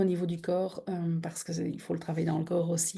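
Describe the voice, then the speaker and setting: A woman speaks with a dark, mellow tone. Her voice sounds low-lit and soft-edged. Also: quiet background. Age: 50s. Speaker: therapist. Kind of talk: online masterclass talk. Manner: hesitant, many fillers.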